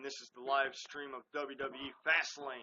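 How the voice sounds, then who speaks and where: The speaker is a man. His pitch sits fairly high. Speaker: live streamer commenting on wrestling. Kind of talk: live stream commentary and chat. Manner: loud; casual, animated.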